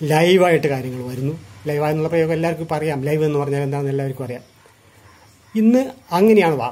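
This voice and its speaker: A man speaks with a dark, mellow tone and ordinary pitch variation. His voice comes across somewhat breathy. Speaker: retired journalist. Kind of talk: lecture. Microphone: phone near.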